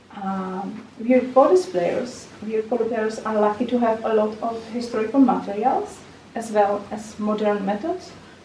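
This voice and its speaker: A woman with a fairly high pitch talks at a fairly slow pace and with fairly even intonation, amid audible room echo and noticeable background noise. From Czech Republic. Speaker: recorder teacher and performer. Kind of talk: conference lecture. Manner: halting, with fillers and repetitions.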